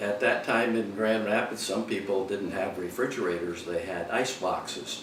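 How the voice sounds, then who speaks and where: Over noticeable background noise and audible room echo, a man with an American accent speaks fairly slowly in a fairly low pitch with fairly even intonation. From Michigan, US Midwest. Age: 70s. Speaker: war veteran. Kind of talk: oral history interview. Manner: halting, many fillers.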